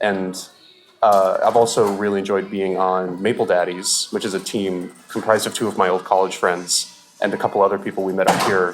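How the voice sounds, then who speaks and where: A man's very deep, low voice, flat and monotone, at a fairly quick pace over noticeable background noise. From Alaska. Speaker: sketch comedian. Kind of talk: casual chat. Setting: public venue.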